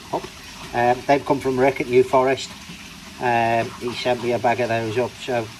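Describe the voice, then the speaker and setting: At a moderate pace with long, frequent pauses, the speech comes over noticeable background noise. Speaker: koi keeper. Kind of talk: casual video update. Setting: garage. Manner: hesitant, many fillers; loud, shouting over pump.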